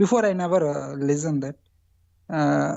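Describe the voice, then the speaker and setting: A woman's very deep, low voice with an Indian accent. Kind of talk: testimony on call-in show. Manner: halting, many fillers.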